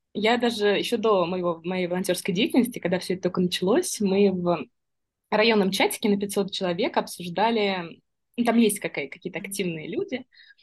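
Speaking at a fairly quick pace, a woman's medium-pitched, somewhat breathy voice shows ordinary pitch variation against a quiet background. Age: 30s. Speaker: volunteer coordinator. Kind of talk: casual chat.

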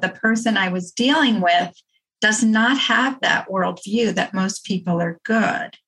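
Slow, fairly even delivery from a woman at medium pitch, with a bright, sharp tone

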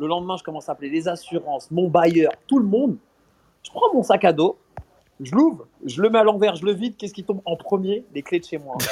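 This man's high, animated voice moves at a fairly quick pace, with ordinary pitch variation and big swings in loudness. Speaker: comedian and radio host. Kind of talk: casual interview. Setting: outdoors on a street. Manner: animated, repeats words.

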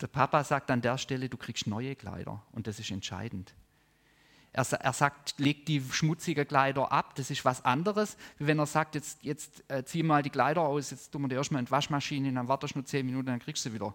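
This is a man with an unremarkable speaking voice, pitched fairly high, with ordinary pitch variation at a fairly quick pace. The sound is dry and close, with no echo. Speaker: preacher. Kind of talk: sermon with prayer, teaching a congregation. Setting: church service with live audience and online viewers. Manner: warm, earnest, conversational preaching.

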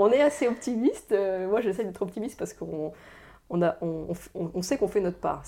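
This woman's voice has a dark, mellow tone with vocal fry. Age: 30s. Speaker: director of a forest conservation association. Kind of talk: interview. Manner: halting, frequent hesitations and repetitions.

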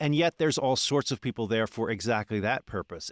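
Over a very clean recording with a silent background, a man talks at a very fast pace in an American accent, at a medium pitch with lively intonation. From Philadelphia. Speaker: history podcast host. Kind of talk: interview; scripted narration.

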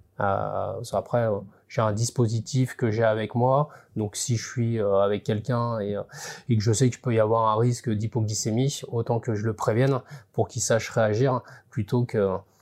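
Even in intonation, a man with a medium pitch talks at a fairly slow pace. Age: 40s. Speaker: agricultural insurance inspector. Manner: halting, with repeated words and fillers.

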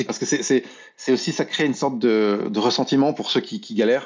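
This voice belongs to a man. It holds a medium pitch. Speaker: illustrator and art director. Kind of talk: casual interview. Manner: fast.

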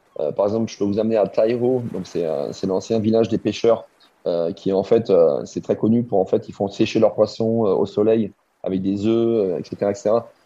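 Fairly low male voice, moderate in pace, with fairly even intonation. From Alsace, France. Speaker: chef. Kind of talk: interview. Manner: halting, with fillers.

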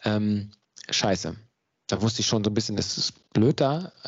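A man speaks with ordinary pitch variation. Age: 30s. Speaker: mental coach. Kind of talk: interview.

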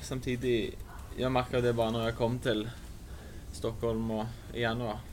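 Pausing long and often, a man talks at a medium pitch and a moderate pace. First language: Norwegian (speaking Swedish). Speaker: football player. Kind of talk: interview.

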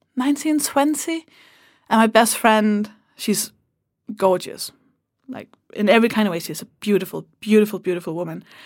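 With a Danish accent, a woman speaks at a fairly quick pace and a fairly high pitch, her intonation lively and her loudness swinging widely, with long, frequent pauses in a very clean recording against a silent background. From Denmark. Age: 30s. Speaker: comedian. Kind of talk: casual chat. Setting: studio.

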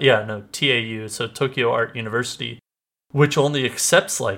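On a very clean recording with a silent background, a man speaks at a fairly slow pace with a medium pitch and ordinary pitch variation. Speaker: anime podcast host. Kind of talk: casual chat. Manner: animated.

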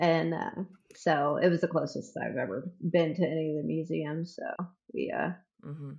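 Vocal fry marks a woman's very deep, low voice as she talks at a moderate pace with ordinary pitch variation. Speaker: medical office worker. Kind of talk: casual chat.

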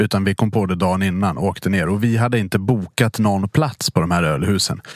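A man with an unremarkable speaking voice talks at a fairly quick pace in a fairly low pitch, with ordinary pitch variation and a dry, close sound with no echo. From Dalarna, Sweden. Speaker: podcast host, restaurant industry. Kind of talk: casual chat.

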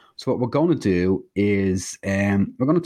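At a moderate pace over a quiet background comes a plain, everyday voice. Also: man. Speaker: indie author and podcast co-host. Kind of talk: casual chat.

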